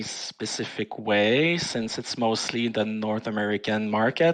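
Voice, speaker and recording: A man with a French Canadian accent, ordinary pitch variation, and a quiet background. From Quebec, Canada. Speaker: forum moderator. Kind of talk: casual chat. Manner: hesitant, many fillers.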